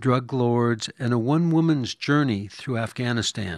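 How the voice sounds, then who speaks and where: A normal speaking voice from a man, fairly slow, with ordinary pitch variation, a dry, close sound with no echo and a quiet background. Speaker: radio host. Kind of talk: radio interview.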